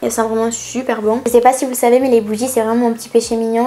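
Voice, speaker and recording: Her pitch sits fairly high. This woman's intonation stays monotone and flat. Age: 20s. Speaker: YouTuber. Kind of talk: shopping haul vlog. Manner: casual, chatty. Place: home room.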